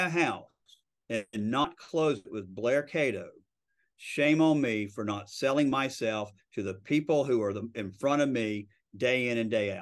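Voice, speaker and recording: Lively intonation marks this man's plain, everyday voice, pitched at a medium level and delivered at a moderate pace against a quiet background. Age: 50s. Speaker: real estate broker and lawyer. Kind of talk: interview.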